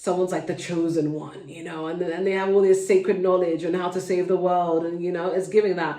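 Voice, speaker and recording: The speaker has a London accent. Noticeable background noise is present. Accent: London accent, well-spoken. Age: adult, mother. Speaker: tarot reader, channel host. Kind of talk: tarot reading to camera. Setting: at home, kids nearby. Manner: casual, chatty.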